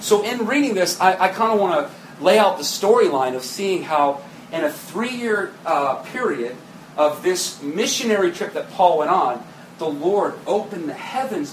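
Very wide pitch swings mark a man's speech. Audible room echo and noticeable background noise come through. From New England. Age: 30s. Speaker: pastor. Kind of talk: sermon.

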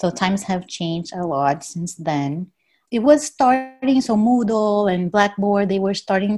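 A woman talks at a fairly slow pace in a Portuguese accent. Her intonation is lively. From Brazil. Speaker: professor. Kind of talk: casual chat.

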